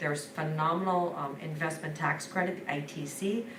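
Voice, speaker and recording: Her voice sits very deep and low for a woman, with noticeable background noise and audible room echo around it. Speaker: energy services consultant presenting to school board. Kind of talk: business presentation. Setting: school board meeting. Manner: fast; enthusiastic.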